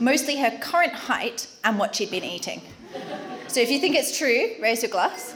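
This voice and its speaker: Through noticeable background noise, a woman with an Australian accent speaks in a high voice. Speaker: wedding speaker. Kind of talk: wedding speech.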